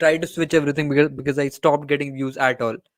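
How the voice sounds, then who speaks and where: In an Indian accent, a man speaks with a fairly high pitch and monotone, flat intonation. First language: Hindi. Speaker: cricket YouTuber. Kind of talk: casual chat. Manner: halting, searching for words. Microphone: good dedicated mic.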